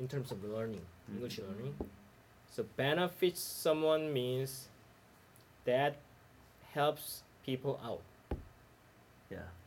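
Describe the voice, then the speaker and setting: Using lively intonation, a man of medium pitch speaks at a very slow pace, with long, frequent pauses. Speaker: study group member. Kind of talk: casual group discussion. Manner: joking, playful.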